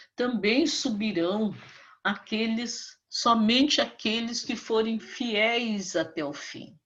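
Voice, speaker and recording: In a room with audible echo, a woman speaks very slowly at a fairly high pitch with ordinary pitch variation. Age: 70s. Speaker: Bible teacher. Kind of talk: sermon. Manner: fervent.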